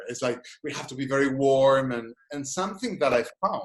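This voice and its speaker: With a Spanish accent, a man speaks at a fairly high pitch with ordinary pitch variation. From Spain. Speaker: psychologist and gestalt therapist. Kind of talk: webinar lecture and Q&A. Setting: video call. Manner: halting, many restarts.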